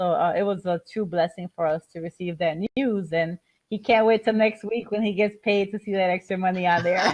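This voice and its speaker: A woman at medium pitch talks at a fairly quick pace with fairly even intonation, the sound dry and close with no echo. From Chicago, Puerto Rican family. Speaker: airport manager and home business presenter. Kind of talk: webinar presentation. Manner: fast.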